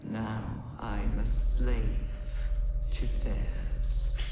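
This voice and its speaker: A put-on character voice rings with a clear echo over loud background noise. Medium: game stream. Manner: solemn, otherworldly.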